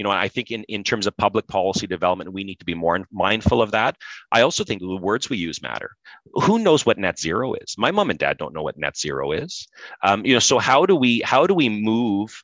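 A man with an Ontario accent talks at a fairly quick pace in a fairly low voice with lively intonation, the sound dry and close with no echo. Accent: Canadian (Ontario). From Canada, Pembroke, Ontario. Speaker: industry association executive. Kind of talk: interview. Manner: many repetitions and restarts.

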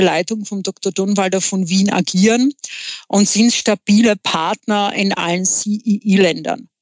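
A woman's medium-pitched voice with a Czech accent, a very slow pace, fairly even intonation, and a dry, close sound free of echo. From Czech Republic. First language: Czech (speaking German). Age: 40s. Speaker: entrepreneur. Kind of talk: interview. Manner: halting, many filler sounds.

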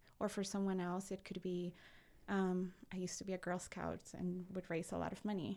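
A woman speaks at a medium pitch with a Spanish accent, her tone dark and mellow. Her intonation stays monotone and flat in a very clean recording with a silent background. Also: fairly quick pace. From Peru, Lima. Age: 20s. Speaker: personal finance entrepreneur. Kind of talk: casual interview. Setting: studio.

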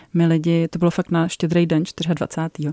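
At a fairly slow pace, a woman speaks in a dark, mellow tone on a very clean recording with a silent background and a dry, close sound with no echo. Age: 40s. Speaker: author of a parenting project and book. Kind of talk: radio interview.

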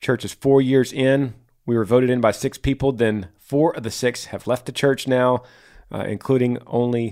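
This voice is reading aloud in a natural voice, keeping a fairly even intonation.

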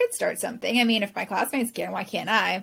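A woman speaks in a Californian accent. Her pace is very fast. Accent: Californian American. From Southern California. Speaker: professional organizer. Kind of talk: interview.

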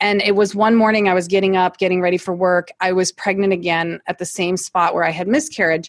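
In a Midwestern US accent, the speaker moves at a fairly quick pace with hardly any pauses and fairly even intonation, in a dry, close sound with no echo. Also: woman, medium pitch for a woman. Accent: US Midwest. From Ohio, US Midwest. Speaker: natural oral care business owner, former nurse. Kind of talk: interview.

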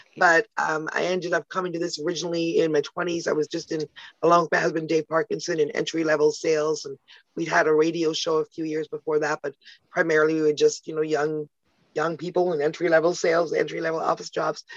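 A woman's very fast, monotone, flat delivery in a Canadian accent, fairly low in pitch, with a dry, close sound and no echo. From Canada (Toronto). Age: 50s. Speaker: publicist and entrepreneur. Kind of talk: casual interview. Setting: podcast interview.

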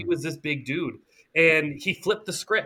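A man's high-pitched, bright, sharp voice with lively intonation at a moderate pace. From rural Nova Scotia, Canada. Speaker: anti-bullying advocate. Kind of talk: interview.

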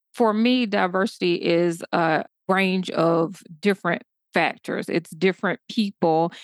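It is a normal speaking voice, moving at a fairly slow pace. The intonation stays fairly even and the loudness very even. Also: woman, medium pitch for a woman, dry, close sound with no echo. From US South, southeast Georgia. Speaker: public health doctor and diversity consultant. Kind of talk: interview.

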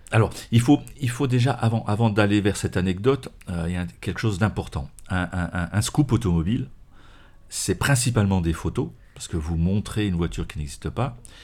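A man pausing long and often, on a very clean recording with a silent background. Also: fairly low pitch for a man, lively intonation, fairly quick pace. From France, Morvan. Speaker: automotive journalist and magazine editor. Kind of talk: interview conversation.

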